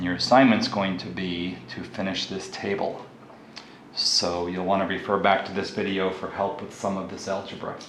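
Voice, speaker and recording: Over noticeable background noise and audible room echo, a man with a very deep, low voice talks at a moderate pace with fairly even intonation. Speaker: math teacher. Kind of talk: tutorial.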